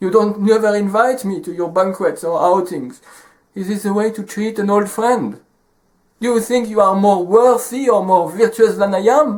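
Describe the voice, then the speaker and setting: Pitched high, a man talks at a moderate pace with ordinary pitch variation. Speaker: storyteller. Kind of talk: storytelling.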